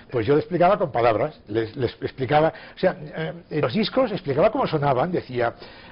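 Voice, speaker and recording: Pitch swings very widely as the voice moves at a fairly quick pace with hardly any pauses. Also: man, fairly high pitch for a man. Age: 60s. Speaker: writer. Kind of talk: interview.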